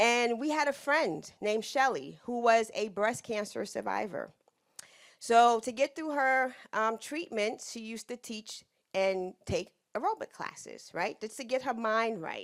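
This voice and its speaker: Loud and animated, a woman speaks at a fairly slow pace with lively intonation and a fairly high pitch, captured on a very clean recording with a silent background. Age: 60s. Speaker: business owner and consultant. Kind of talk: lecture.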